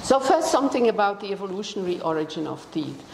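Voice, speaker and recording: A woman with a Dutch accent speaks at a medium pitch, with audible room echo and noticeable background noise. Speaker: biology professor. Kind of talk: lecture. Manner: halting, many fillers.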